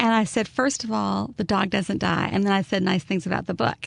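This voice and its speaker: A woman with an Alabama accent talks at a fairly quick pace with very wide pitch swings and vocal fry, in a dry, close sound with no echo. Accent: Southern US (Alabama). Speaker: author. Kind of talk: interview answer.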